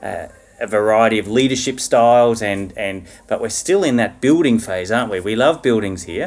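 A man with an Australian accent talks at a moderate pace and a medium pitch. His intonation is lively, and noticeable background noise runs underneath. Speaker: school chaplain and podcast host. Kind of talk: interview.

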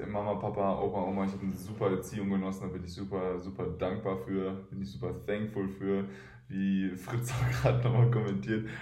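A man speaks at a fairly quick pace and fairly low pitch, with ordinary pitch variation. Audible room echo surrounds his voice. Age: 20s. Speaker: professional basketball player. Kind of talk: interview.

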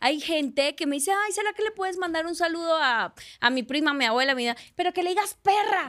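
At a fairly quick pace, a woman speaks in an extremely high pitch with lively intonation. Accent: Colombian. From Colombia, Barranquilla. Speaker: actress. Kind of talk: casual chat.

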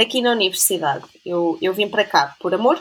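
This woman talks at a moderate pace. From Portugal, Trás-os-Montes. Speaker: science educator, biologist. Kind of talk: casual interview. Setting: video call.

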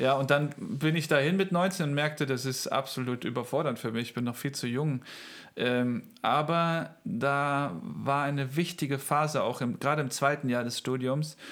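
On a very clean recording with a silent background, a man with an ordinary speaking voice talks at a moderate pace, his fairly high pitch carrying ordinary pitch variation. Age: 30s. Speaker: pastor and church planter. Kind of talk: interview.

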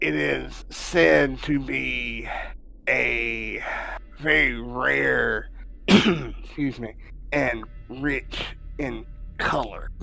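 Over music in the background, a man in a put-on character voice sounds raspy, strained and hoarse, talking at a very slow pace with long, frequent pauses. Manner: wary, confiding, low.

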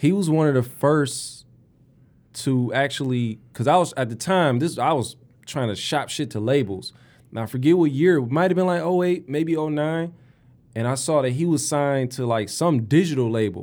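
Speaking in a Detroit accent at a moderate pace, a man with a fairly high pitch and ordinary pitch variation comes through on a very clean recording with a silent background. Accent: Detroit urban American English. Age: 30s. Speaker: podcast host and rapper. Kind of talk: casual chat. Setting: studio.

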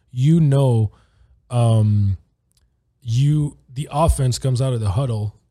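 It is a somewhat breathy voice with a dark, mellow tone. The delivery is fairly slow. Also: man. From Switzerland. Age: 30s. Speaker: former American football player. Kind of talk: casual chat.

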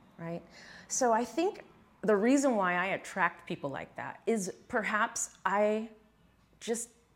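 A woman with a plain, everyday voice speaks at a medium pitch. Her intonation is lively and her pace fairly slow. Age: 40s. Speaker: fitness coach. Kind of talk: casual chat.

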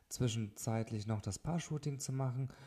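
Medium-pitched male voice, dark and mellow, somewhat breathy, with ordinary pitch variation. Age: 30s. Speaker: wedding photographer, podcast host. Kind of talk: solo podcast monologue. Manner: hesitant with frequent fillers.

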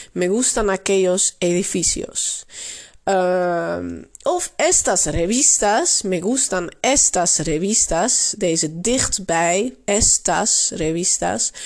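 With a Dutch accent, the speaker goes at a very slow pace, keeping loudness very even. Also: woman. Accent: Dutch accent in her Spanish. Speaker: Spanish language teacher. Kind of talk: tutorial. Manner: frequent hesitations (uh).

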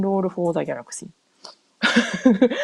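A woman talks at a fairly quick pace. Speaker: podcaster, board game enthusiast. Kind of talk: solo podcast monologue. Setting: home. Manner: casual, many fillers.

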